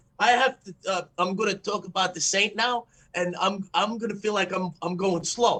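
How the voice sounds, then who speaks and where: A man's raised, projected voice, high in pitch, with fairly even intonation at a moderate pace. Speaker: podcast co-host. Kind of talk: casual chat.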